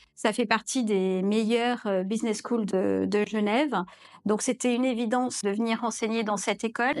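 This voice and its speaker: Noticeable background noise surrounds the recording. A woman talks with a fairly high pitch. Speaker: consultant and business school lecturer. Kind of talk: interview testimonial.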